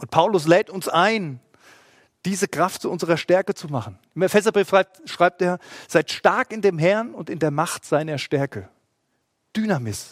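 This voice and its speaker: Speaking at a moderate pace with a high pitch, a man leaves long, frequent pauses and swings widely in loudness, the sound dry and close with no echo. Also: lively intonation. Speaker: pastor. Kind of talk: sermon; livestream church service, sermon to an online congregation. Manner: earnest, pleading, preacherly; measured, emphatic delivery with stressed key words.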